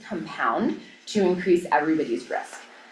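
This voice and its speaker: Through noticeable background noise, a woman speaks at a fairly low pitch. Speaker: violence prevention presenter. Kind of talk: presentation at public meeting. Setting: county board work session. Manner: fast.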